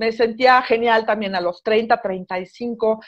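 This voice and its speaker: A woman's fairly high-pitched voice with ordinary pitch variation, an ordinary speaking voice. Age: 40s. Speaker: radio host and writer. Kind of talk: casual chat.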